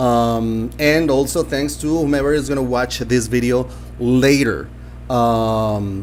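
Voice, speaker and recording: Audible room echo surrounds this speaker. He is a man with a Spanish accent. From Colombia. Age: 50s. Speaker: language teacher. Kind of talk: live stream talk. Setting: live stream. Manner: halting, many fillers.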